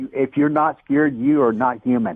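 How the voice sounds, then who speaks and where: A man with a plain, everyday voice, fairly high in pitch, at a moderate pace. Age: 60s. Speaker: daredevil rocket builder. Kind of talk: interview.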